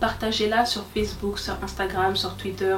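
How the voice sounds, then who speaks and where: A woman talks at a medium pitch while noticeable background noise and audible room echo fill the space. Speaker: YouTuber. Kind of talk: channel presentation vlog. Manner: very fast.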